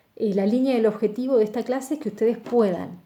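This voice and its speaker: Somewhat breathy, a woman speaks in a dark, mellow tone at a fairly high pitch. Her pace is moderate. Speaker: university lecturer. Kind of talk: lecture.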